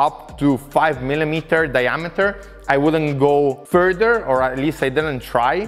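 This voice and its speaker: Faint music plays behind a man who speaks at a very slow pace with ordinary pitch variation. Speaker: workshop tool reviewer. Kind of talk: tutorial. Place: garage. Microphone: lapel.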